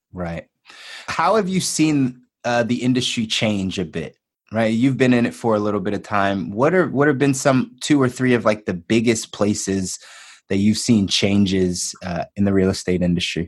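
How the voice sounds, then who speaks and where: In a plain, everyday voice with an American accent, the speaker talks at a moderate pace against a quiet background. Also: man, fairly low pitch for a man. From Philadelphia. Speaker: podcast host. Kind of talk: podcast interview.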